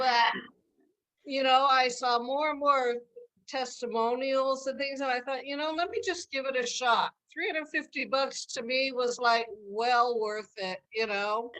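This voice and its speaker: A woman's high-pitched voice at a fairly slow pace. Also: ordinary pitch variation. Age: 70s. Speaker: product user sharing testimony. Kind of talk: testimony. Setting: video call.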